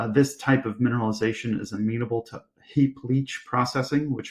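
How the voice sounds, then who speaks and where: A somewhat breathy man at a medium pitch, in a monotone, flat intonation. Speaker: company executive presenting to investors. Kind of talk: investor presentation. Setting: virtual conference live stream.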